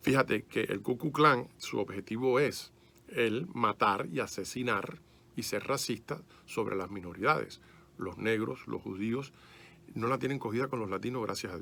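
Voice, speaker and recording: Over a silent background in a very clean recording, a man with a bright, sharp tone and vocal fry talks with ordinary pitch variation. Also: medium pitch for a man, moderate pace. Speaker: private detective, ex-police, speaker on esoteric history. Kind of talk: radio interview. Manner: fluent, slightly halting with fillers.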